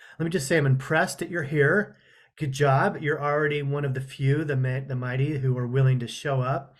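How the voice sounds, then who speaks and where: Somewhat breathy, a man talks at a fairly quick pace in a fairly high pitch with fairly even intonation. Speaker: counselor leading a webinar. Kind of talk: webinar presentation. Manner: casual, with fillers and restarts.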